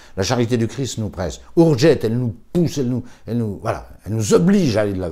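A man with a fairly low pitch and a dark, mellow tone uses vocal fry and very wide pitch swings. The background is quiet. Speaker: priest; priest recalling a deceased colleague. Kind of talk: memorial talk. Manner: halting. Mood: warm, admiring, animated. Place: home room.

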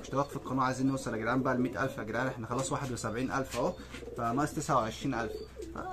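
Over noticeable background noise, a man talks at a very fast pace in a medium pitch. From Egypt. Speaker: pigeon-keeping vlogger. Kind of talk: casual vlog talk to camera. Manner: animated. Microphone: phone near.

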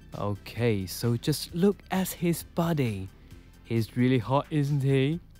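A man's medium-pitched voice at a very slow pace, with lively intonation, very even loudness and music in the background. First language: not English. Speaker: toy collector and reviewer. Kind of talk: casual toy review voice-over.

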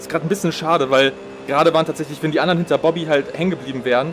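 Noticeable background noise sits under a man speaking at a very fast pace. His pitch is fairly high and his intonation fairly even. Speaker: sim racing streamer. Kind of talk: live gameplay commentary. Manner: sparse, few words while concentrating.

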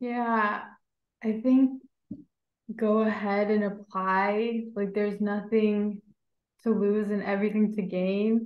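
In an American accent, the speaker talks very slowly in a monotone, flat delivery, with long, frequent pauses and audible room echo. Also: woman, fairly high pitch for a woman. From US Midwest, Indiana. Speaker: graduate student; panelist. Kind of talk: webinar panel discussion. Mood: warm, friendly, smiling. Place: home room. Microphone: video call.

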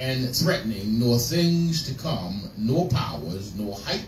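A man's very slow speech with audible room echo and light background noise. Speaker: preacher. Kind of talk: scripture reading in a sermon. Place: church.

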